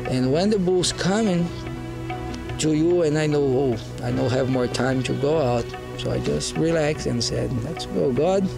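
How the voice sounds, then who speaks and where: The speech moves at a moderate pace. Clear music plays in the background. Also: man. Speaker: rodeo protection clown. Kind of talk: interview answer. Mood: earnest, reflective.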